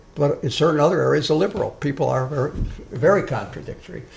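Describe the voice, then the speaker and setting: A man's voice with audible room echo. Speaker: social justice activist giving a talk. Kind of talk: lecture. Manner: loud.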